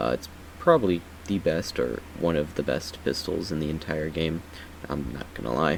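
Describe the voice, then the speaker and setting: A soft-spoken man with a very deep, low pitch, over noticeable background noise. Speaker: gaming YouTuber. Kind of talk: game build tutorial. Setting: at home late at night. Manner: quiet, speaking softly; casual with many fillers.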